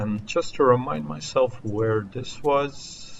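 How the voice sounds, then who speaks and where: A somewhat breathy man with a non-native accent. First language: not English. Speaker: video game streamer. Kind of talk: gameplay commentary.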